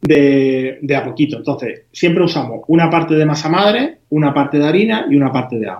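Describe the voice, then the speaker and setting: At a moderate pace, a man talks in a plain, everyday voice pitched fairly high. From Spain, Huelva (Andalusia). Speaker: home baker. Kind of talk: tutorial.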